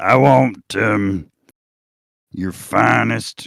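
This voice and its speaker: A raspy, put-on character voice from a man with a Southern accent. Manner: goofy.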